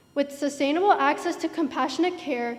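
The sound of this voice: The pace is fairly quick. Pitch variation is ordinary. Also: woman, high pitch for a woman.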